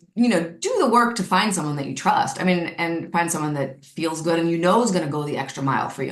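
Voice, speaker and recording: Noticeable background noise sits under a woman talking at a very fast pace with lively intonation and a fairly low pitch. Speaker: naturopathic doctor. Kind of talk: casual chat.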